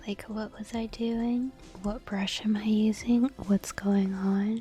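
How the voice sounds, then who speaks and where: With music in the background, the words come out at a very slow pace. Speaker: streamer. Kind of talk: casual chat.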